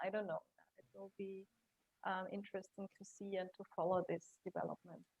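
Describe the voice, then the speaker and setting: The sound is dry and close with no echo as a woman speaks in a German accent. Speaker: career coach and HR consultant. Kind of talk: interview.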